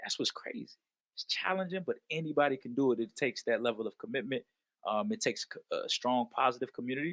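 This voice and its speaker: A man with an American accent at a very fast pace, in dry, close sound with no echo. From Washington DC, Northeast (Ward 7). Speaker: history teacher. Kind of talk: podcast interview. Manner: casual, conversational.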